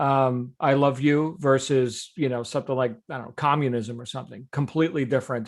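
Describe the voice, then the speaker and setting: A man speaks at a medium pitch with fairly even intonation in an unremarkable speaking voice against a quiet background. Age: 50s. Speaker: success coach hosting daily call. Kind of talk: group call coaching.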